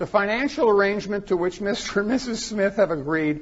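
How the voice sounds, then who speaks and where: A man talks at a fairly quick pace. His intonation is lively. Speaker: forensic psychologist presenter. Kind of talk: conference presentation. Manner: fast.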